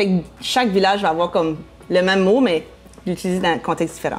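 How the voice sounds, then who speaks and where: Noticeable background noise runs under a woman speaking at a fairly quick pace. She has an Acadian accent and a medium pitch. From Acadia, southeast New Brunswick (Moncton). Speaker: blogger and real estate broker. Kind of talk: casual interview chat. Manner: animated, playful.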